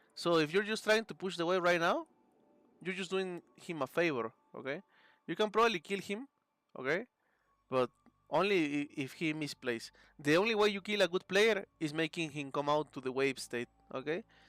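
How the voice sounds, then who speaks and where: On a very clean recording with a silent background, a man with a Spanish accent and a high pitch for a man speaks at a moderate pace, leaving long, frequent pauses. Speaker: video game coach. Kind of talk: coaching session, game replay review. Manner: casual, frequent 'okay' and fillers.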